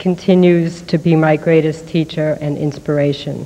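A woman's fairly low, monotone voice with flat intonation at a moderate pace. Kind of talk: acceptance speech. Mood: grateful, moved. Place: hall. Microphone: podium.

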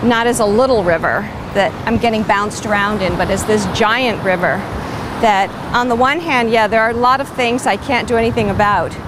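Over clear background noise, a woman with a medium-pitched voice talks at a moderate pace with few pauses and ordinary pitch variation.

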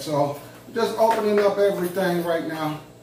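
Man with a high pitch, audible room echo, and light background noise. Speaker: food vlogger. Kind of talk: casual vlog chat. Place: home room. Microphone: camera far.

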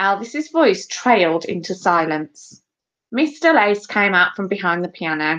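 Against a quiet background, an unforced reading voice is heard.

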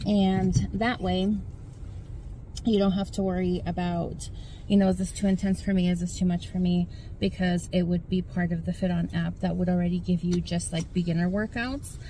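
A woman speaks at a fairly low pitch in a dark, mellow, somewhat breathy tone. The sound is dry with no echo, and there is light background noise. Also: fairly even intonation, moderate pace. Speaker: fitness vlogger. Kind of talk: casual vlog chat. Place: car. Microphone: phone near.

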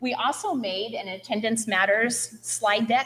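At a fairly slow pace, a woman talks with a fairly high pitch and ordinary pitch variation. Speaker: school principal. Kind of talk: public meeting presentation. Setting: school committee meeting. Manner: loud.

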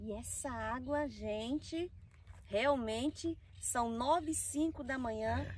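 A woman at a very slow pace, in dry sound with no echo. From Recife, Brazilian Northeast. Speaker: travel vlogger; vlogger. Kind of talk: casual vlog chat. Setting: outdoors by a reservoir. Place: waterside.

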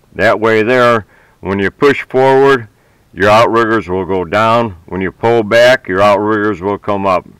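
A man with a normal speaking voice, fairly low in pitch, at a fairly slow pace with fairly even intonation, in a dry sound with no echo against a quiet background. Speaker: hobbyist tractor owner. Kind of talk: tutorial. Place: farm machine. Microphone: phone near.

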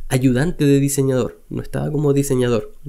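With a Chilean accent, a man speaks at a moderate pace in a dark, mellow tone against a quiet background. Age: 30s. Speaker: web designer and online teacher; web design teacher. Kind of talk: personal storytelling vlog. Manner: casual, with frequent hesitations and repetitions. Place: home room. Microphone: studio mic.

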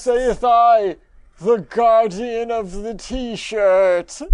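The voice is a put-on character. Its delivery is very slow. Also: man, extremely high pitch for a man. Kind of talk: archaic, 'saith I'. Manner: menacing, theatrical.

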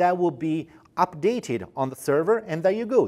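A man talks at a moderate pace, the background quiet. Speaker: product specialist. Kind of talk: corporate product explainer. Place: studio. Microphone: lapel.

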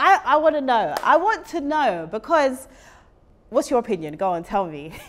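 This woman speaks with a high pitch and very wide pitch swings. Her tone is animated and her pace moderate. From UK, Jamaican heritage. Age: 30s. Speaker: talk show host. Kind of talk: casual interview. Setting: studio. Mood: playful, laughing. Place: studio. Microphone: lapel.

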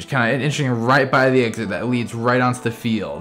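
Over clear background music, a man talks very rapidly. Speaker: fan vlogger giving a tour. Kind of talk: casual tour commentary. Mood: enthusiastic fan. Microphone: phone near.

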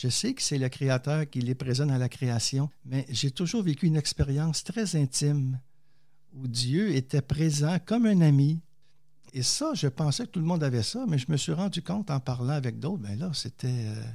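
In a very clean recording with a silent background, a man with a fairly high pitch and a dark, mellow, somewhat breathy tone speaks at a moderate pace with lively intonation. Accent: Quebec. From Quebec. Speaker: theologian and poet, author. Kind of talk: interview testimony.

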